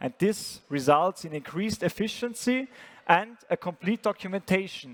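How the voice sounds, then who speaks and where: In a dry, close sound with no echo, a man with an Austrian accent speaks at a high pitch and moderate pace with lively intonation. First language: German. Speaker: startup founder and CEO. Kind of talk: startup pitch presentation.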